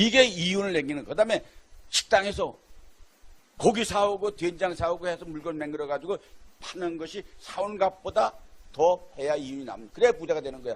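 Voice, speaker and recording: Talking at a fairly quick pace with long, frequent pauses, a man with a high voice shows ordinary pitch variation and big swings in loudness. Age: 80s+. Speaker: lecturer. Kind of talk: lecture. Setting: live broadcast.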